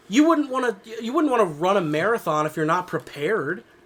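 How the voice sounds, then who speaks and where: Over noticeable background noise, a man speaks animatedly at a moderate pace in a high pitch, with very wide pitch swings. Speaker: podcast co-host. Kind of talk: casual chat. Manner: animated ranting.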